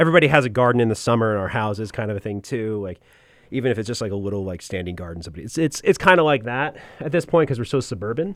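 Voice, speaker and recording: A man with an American accent talks at a very fast pace, at medium pitch, with lively intonation and big swings in loudness. The recording is very clean, with a silent background. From New Jersey (central Jersey). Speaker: radio production professor. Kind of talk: casual interview chat.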